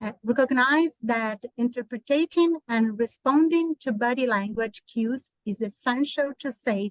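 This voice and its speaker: In a Portuguese accent, a woman speaks at a fairly slow pace with ordinary pitch variation, the sound dry and close with no echo. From Brazil. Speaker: therapist and conference presenter. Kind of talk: conference presentation. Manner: halting.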